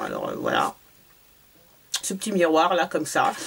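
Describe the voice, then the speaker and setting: This woman speaks at a moderate pace. Noticeable background noise can be heard. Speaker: beauty vlogger. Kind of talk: product haul review. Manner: hesitant, many fillers.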